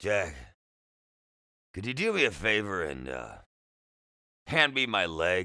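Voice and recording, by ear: Speaking slowly, a man does a raspy put-on character voice at low pitch, bright and sharp in tone, with very wide pitch swings. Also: very clean recording, silent background.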